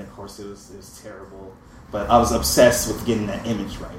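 Over noticeable background noise, the talking proceeds at a fairly quick pace. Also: man. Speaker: writer and artist. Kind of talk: storytelling live.

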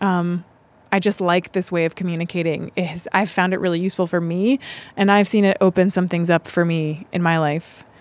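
A woman with a fairly low pitch and monotone, flat intonation at a fairly quick pace, on a very clean recording with a silent background. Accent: American. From US South, Charlotte, North Carolina. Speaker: restorative justice specialist and performer. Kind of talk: casual chat.

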